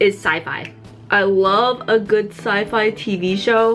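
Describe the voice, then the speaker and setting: A woman's medium-pitched voice with an American accent over noticeable background noise. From New York City. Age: 20s. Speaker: beauty vlogger. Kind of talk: casual get-ready-with-me vlog.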